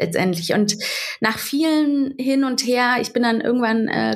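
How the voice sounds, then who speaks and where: A normal speaking voice talks at a moderate pace with fairly even intonation in a very clean recording with a silent background. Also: woman. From Berlin, Germany. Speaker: social media creator and mother. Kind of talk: interview.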